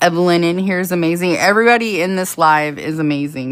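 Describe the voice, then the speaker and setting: The pitch varies in an ordinary way. The speaker is a woman. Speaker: crochet tutorial streamer. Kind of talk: live-stream tutorial. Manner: fast; casual, chatty.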